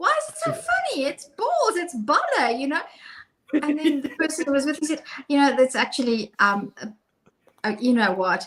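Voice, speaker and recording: A woman with a South African accent speaks at a high pitch and a moderate pace. Her pitch swings very widely. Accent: Afrikaans South African English. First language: Afrikaans. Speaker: co-host. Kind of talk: casual chat.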